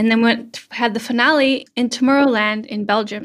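A woman's fairly slow speech with a Canadian accent in a normal speaking voice, with fairly even intonation and a very clean recording against a silent background. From Canada, Vancouver Island, British Columbia. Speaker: content creator. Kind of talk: casual interview.

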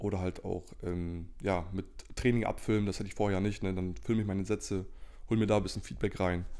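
In a flat, monotone delivery, a man speaks at a fairly quick pace with a fairly low pitch and a dark, mellow tone. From northern Germany (Lower Saxony, Cloppenburg). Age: 20s. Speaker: natural bodybuilder and student. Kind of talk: casual interview chat. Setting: in the same room, sharing one microphone.

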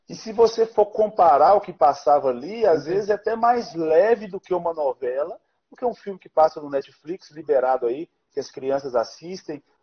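Speaking at a moderate pace, a man with a high voice uses lively intonation and big swings in loudness. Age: 30s. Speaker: pastor and live show host. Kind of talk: interview on live stream. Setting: Instagram live stream.

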